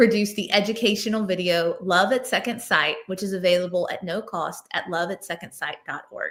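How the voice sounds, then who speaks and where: A woman talks at a fairly quick pace with ordinary pitch variation, in a plain, everyday voice. The recording is very clean, with a silent background. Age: 40s. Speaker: executive director of a nonprofit association. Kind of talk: award ceremony speech.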